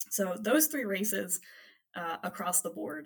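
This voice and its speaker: A woman with an American accent at a fairly low pitch, with vocal fry, very wide pitch swings and a moderate pace. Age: 20s. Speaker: political organization leader. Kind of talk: interview.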